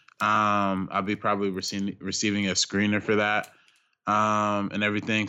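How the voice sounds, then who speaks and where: This is a man speaking. His voice sits at a fairly low pitch. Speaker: film critic, director and YouTube creator. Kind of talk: casual film discussion.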